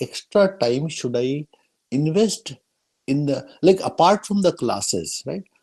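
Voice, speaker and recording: The speaker has an Indian accent and talks at a very slow pace. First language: Hindi. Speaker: workshop moderator. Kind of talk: panel Q&A.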